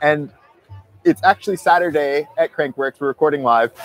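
Over music in the background, a man talks fairly quickly with ordinary pitch variation, the sound dry with no echo. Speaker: podcast host. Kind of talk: show intro and interview questions. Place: street. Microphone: lapel.

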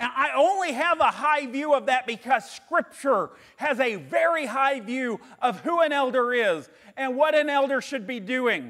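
A loud man with an extremely high pitch speaks against a quiet background. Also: ordinary pitch variation, moderate pace. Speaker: pastor. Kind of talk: sermon. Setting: re-recorded sermon video. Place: church. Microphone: lapel.

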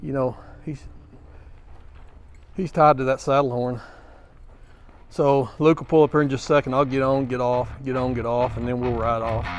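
Against music in the background, a man speaks at a moderate pace with fairly even intonation and long, frequent pauses, in a dry sound with no echo. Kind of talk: casual commentary. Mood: relaxed, observant. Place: hall.

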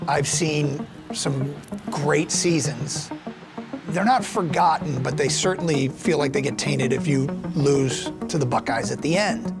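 Over clear background music, a man with an American accent speaks at a fairly slow pace. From Ann Arbor, Michigan, USA. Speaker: college football play-by-play announcer. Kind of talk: interview answer. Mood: relaxed, smiling, reflective. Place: stadium. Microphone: lapel.

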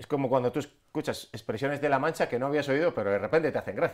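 Against a quiet background, a man talks at a very fast pace with vocal fry and a medium pitch. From Castile, Spain. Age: 40s. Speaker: comedian. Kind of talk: interview. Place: studio. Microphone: lapel.

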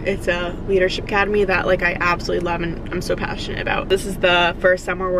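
Dry sound with no echo, plus noticeable background noise. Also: woman. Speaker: vlogger. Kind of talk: casual vlog chat. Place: car.

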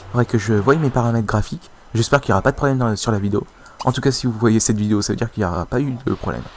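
Very fast male speech at a medium pitch with ordinary pitch variation, on a very clean recording with a silent background. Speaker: video game YouTuber. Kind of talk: casual gaming commentary. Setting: home recording, voiceover on gameplay. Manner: hesitant, filler words, casual.

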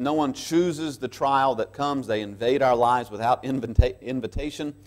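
A man is speaking here. His pace is moderate and the background is quiet. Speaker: pastor. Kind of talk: sermon. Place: church. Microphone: lapel.

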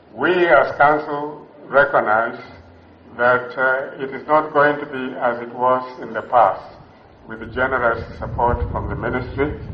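A man's medium-pitched voice at a fairly slow pace, with audible room echo. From Western Kenya. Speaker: university council chairman. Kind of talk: ceremonial speech. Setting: graduation ceremony with audience. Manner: formal. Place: hall. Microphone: podium.

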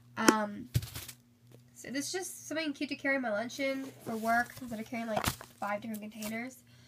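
A woman at a fairly quick pace against loud background noise. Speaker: beauty vlogger. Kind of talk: haul video. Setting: filming at home, poor lighting. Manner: casual, chatty. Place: home room. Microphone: phone near.

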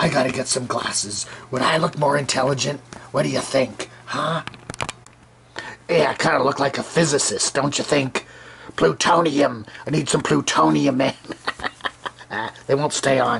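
A man's cartoonish character voice at medium pitch, broken by long, frequent pauses. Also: moderate pace. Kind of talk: puppet show commentary. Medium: puppet. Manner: rambling, hesitant.

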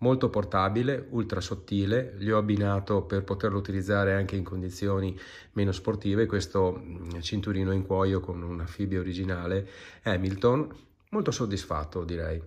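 A somewhat breathy man speaks in a fairly low pitch with fairly even intonation. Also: moderate pace. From Treviso, northeastern Italy. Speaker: watch collector. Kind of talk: recorded video presentation. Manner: wordy, hesitant.

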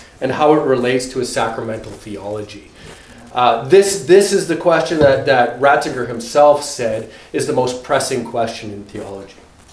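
Heard with audible room echo, a man talks at a moderate pace with big swings in loudness. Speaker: guest. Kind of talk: formal introduction speech. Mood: warm, lightly humorous. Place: classroom. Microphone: camera far.

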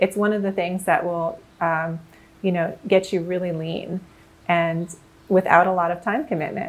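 Fairly low pitch from a woman with an ordinary speaking voice, a moderate pace and fairly even intonation. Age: 40s. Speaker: masters sprinter and nutrition author; interview guest, nutrition coach. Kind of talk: interview. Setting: in person. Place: kitchen.

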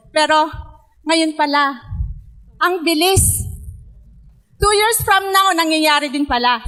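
A woman's raised, projected voice at an extremely high pitch, very slow, with long, frequent pauses. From Philippines, Pangasinan; Philippines. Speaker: network marketing distributor; speaker. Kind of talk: testimony. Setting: stage with audience. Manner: halting. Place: hall. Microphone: handheld.

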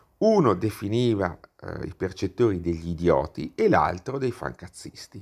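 The man has a non-native accent. His intonation sounds lively. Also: very clean recording, silent background. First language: not Italian (speaking Italian). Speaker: YouTuber, political commentator. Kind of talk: video monologue, political commentary. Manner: animated.

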